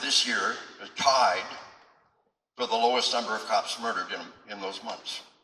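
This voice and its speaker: Audible room echo around a man's fairly slow, medium-pitched speech. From Arkansas. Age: 60s. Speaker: retired military officer and police trainer. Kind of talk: public speech. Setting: event hall with audience. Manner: impassioned.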